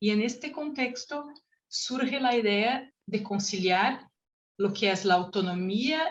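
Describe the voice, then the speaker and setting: This woman has a medium pitch and a somewhat breathy voice with a Brazilian accent. Her intonation is lively. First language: Portuguese (speaking Spanish). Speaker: researcher, panel speaker. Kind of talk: conference presentation. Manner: halting, with self-corrections.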